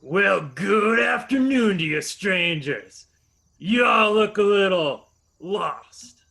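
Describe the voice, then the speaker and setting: A man uses a put-on character voice that is high pitched, raised and projected. He speaks very slowly with lively intonation. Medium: audio drama. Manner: drawling, mocking.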